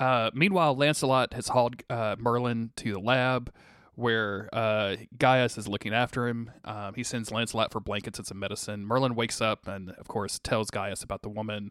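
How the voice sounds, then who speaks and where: A man with an American accent and a plain, everyday voice speaks at a medium pitch and a moderate pace. His intonation is fairly even, and the recording is very clean with a silent background. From USA. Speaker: podcast host. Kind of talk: casual chat.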